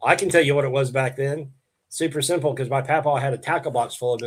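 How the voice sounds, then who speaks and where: A man talks very fast with an American accent at medium pitch. His voice is somewhat breathy, with fairly even intonation. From Oklahoma, around Piedmont. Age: 60s. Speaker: bass angler and bait maker. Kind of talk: casual interview chat. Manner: halting, many fillers and restarts.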